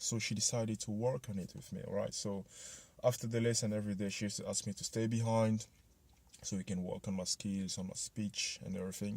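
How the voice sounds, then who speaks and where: A man with a slight French accent talks at a fairly quick pace and a fairly low pitch in a flat monotone. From Ivory Coast. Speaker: motivational vlogger. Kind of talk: personal story vlog. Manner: casual, many fillers.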